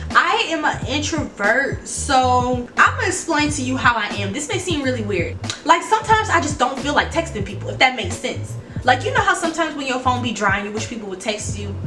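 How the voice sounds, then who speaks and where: The speech moves at a fairly quick pace. There is noticeable background noise. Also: woman. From New Orleans, Louisiana. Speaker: YouTuber. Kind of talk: casual talk to camera. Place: home room. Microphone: phone near.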